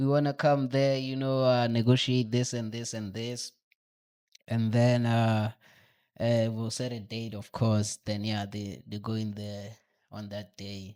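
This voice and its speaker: In a Botswana accent, a man with a dark, mellow tone and medium pitch speaks at a fairly slow pace, his intonation fairly even but his loudness swinging widely. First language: Setswana. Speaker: podcast guest. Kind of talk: casual chat. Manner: halting.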